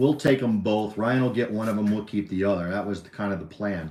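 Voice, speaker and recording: This man speaks at a medium pitch. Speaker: dog owner co-hosting a livestream. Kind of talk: casual chat. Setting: livestream. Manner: rambling, talkative.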